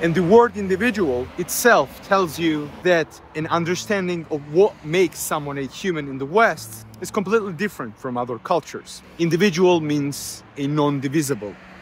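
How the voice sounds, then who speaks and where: This man speaks with a Georgian accent at a fairly high pitch, using lively intonation. He keeps a moderate pace with hardly any pauses. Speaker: YouTuber on culture and philosophy. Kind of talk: lecture-style monologue.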